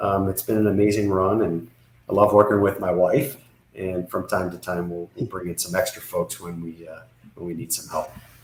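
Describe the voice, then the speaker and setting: In a normal speaking voice, a man with a fairly low pitch keeps a moderate pace and fairly even intonation, with big swings in loudness. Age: 60s. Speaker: business consultant. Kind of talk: podcast interview.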